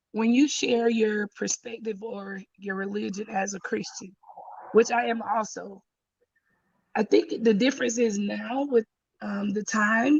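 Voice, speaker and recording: Speech comes at a fairly slow pace with a Southern US accent. Long pauses break it up often. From Georgia, US South. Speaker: caller. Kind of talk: live stream discussion. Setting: live stream call without camera.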